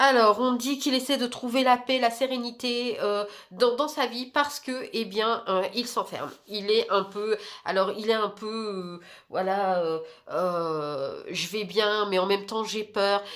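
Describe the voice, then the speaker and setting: A woman's fairly high voice moves very slowly, with ordinary pitch variation. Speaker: tarot card reader. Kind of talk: tarot reading monologue. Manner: hesitant, many fillers.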